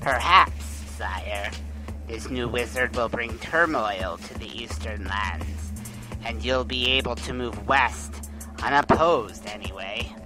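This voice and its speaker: Loud music plays in the background as someone uses a put-on character voice at a fairly slow pace. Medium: audio drama.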